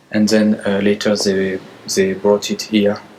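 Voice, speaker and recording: A man speaks in a French accent against noticeable background noise. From France. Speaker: church tour guide. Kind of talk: guided tour. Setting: inside a church. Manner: halting, with many fillers.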